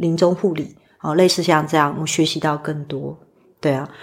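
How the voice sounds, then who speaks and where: A woman's very deep, low voice with fairly even intonation and a Taiwanese accent. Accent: Taiwanese Mandarin. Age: 40s. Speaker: spiritual medium. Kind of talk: interview conversation.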